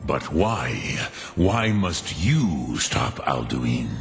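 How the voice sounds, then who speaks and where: A man's put-on character voice, very deep and low, with very wide pitch swings at a very slow pace, clear echo and clear music in the background. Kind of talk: mythic archaic speech. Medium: machinima. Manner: slow, grave, measured.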